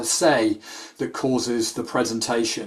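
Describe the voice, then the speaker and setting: A man speaks with a British accent. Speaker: sports nutritionist. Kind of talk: webinar presentation. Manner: hesitant fillers.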